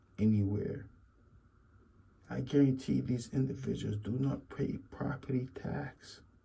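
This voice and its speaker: His voice has a dark, mellow tone with vocal fry as the man speaks. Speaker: YouTube commentator. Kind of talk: casual commentary monologue.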